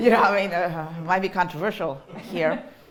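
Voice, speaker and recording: A woman speaks with a Mexican accent. Her pitch is medium and her pace moderate. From Mexico. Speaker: college dean of students. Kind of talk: talk to colleagues about personal journey. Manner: halting, many fillers.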